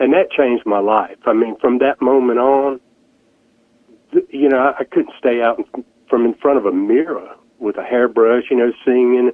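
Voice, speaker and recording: Delivery is moderately paced. Pitch movement remains fairly level throughout. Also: man, medium pitch for a man. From rural mountain Virginia. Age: 60s. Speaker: musician. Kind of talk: radio interview. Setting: phone call.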